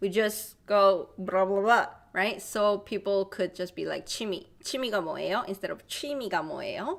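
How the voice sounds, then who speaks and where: With a Korean accent, a woman speaks at a medium pitch. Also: ordinary pitch variation, moderate pace. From South Korea. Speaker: language teacher. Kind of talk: live online language class. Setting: livestream.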